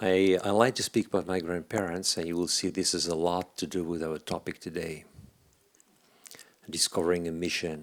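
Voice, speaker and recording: A man with a French accent speaks at a moderate pace in a very deep, low voice with monotone, flat intonation. The recording is very clean, with a silent background. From France, Paris. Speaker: leadership speaker. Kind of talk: workshop talk. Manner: halting.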